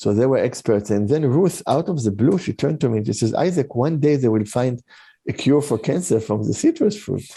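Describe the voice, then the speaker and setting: Against a quiet background, a man with a dark, mellow, somewhat breathy tone and medium pitch speaks at a fairly quick pace with lively intonation. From Israel. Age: 60s. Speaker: integrative medicine doctor. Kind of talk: podcast interview. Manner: halting, many fillers and restarts.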